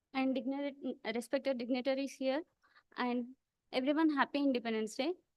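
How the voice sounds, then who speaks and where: Speaking at a fairly quick pace, a woman with a high pitch keeps her intonation fairly even. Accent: Telugu. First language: Telugu. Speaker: student contestant in a speech event. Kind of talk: speech.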